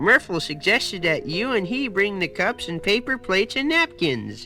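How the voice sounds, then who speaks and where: A put-on character voice at a middle pitch and moderate pace, with clear music in the background. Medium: read story.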